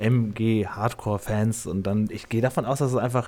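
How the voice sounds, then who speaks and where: A man's medium-pitched, ordinary speaking voice at a moderate pace. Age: 40s. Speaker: podcast host. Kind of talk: casual chat.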